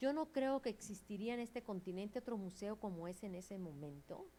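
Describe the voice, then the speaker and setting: Her pitch swinging very widely, a woman speaks. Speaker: museum specialist and curator. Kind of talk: interview.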